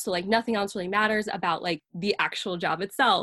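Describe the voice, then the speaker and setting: A plain, everyday voice with an American accent. The sound is dry and close with no echo, over a quiet background. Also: woman. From upstate New York. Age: 20s. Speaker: graphic designer and illustrator. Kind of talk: casual chat.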